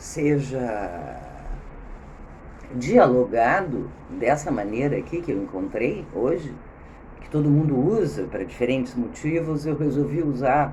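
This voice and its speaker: A woman speaks at a very deep, low pitch and a fairly slow pace. Long, frequent pauses are heard, with audible room echo. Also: lively intonation. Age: 60s. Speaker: video blogger. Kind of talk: spontaneous talk. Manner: halting.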